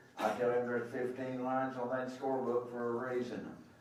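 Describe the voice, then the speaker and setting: There is audible room echo and noticeable background noise. A man talks at a medium pitch. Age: 70s. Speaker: official scorer. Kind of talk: public address to coaches. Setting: arena meeting with microphone.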